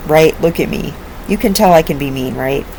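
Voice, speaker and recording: The tone is animated. Noticeable background noise runs underneath. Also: woman. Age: 50s. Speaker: online commentator. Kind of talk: casual vlog monologue.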